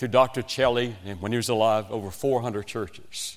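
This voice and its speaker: On a very clean recording with a silent background, a man with a West Virginian accent talks at a fairly slow pace with ordinary pitch variation. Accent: Southern US, West Virginian. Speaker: evangelist preacher. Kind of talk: sermon.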